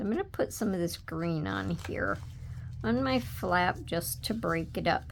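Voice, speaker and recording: A woman speaks softly. Her pace is fairly slow. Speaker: papercraft tutorial creator. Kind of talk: tutorial. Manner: soft-spoken; casual.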